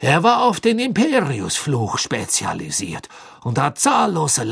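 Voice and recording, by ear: A natural voice, reading aloud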